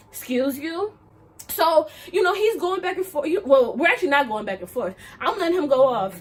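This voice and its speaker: Loud and animated in tone, a woman talks at a fairly quick pace with very wide pitch swings. Noticeable background noise can be heard. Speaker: vlogger. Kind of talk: casual vlog monologue.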